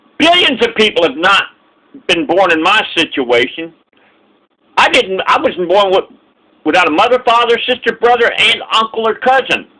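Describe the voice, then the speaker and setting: A man's high, raised and projected voice with lively intonation and very even loudness, at a moderate pace broken by long, frequent pauses. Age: 60s. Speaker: vlogger. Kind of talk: casual monologue. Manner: halting; impassioned.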